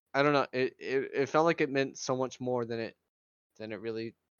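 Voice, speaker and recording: Speaking at a fairly quick pace, a man with a normal speaking voice keeps a medium pitch and fairly even intonation. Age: young. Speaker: podcast guest, fan. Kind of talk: casual chat.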